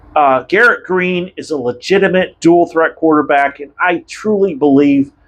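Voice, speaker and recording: His intonation rises and falls in a lively way. The man's delivery is fairly slow. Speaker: sports YouTuber. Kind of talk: casual monologue. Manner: halting.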